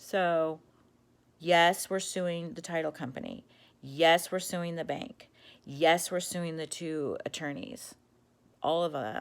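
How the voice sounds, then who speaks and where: Pausing long and often, a woman speaks at a very slow pace and fairly low pitch with ordinary pitch variation. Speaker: vlogger telling about a fraud. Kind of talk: personal video monologue. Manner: animated, agitated.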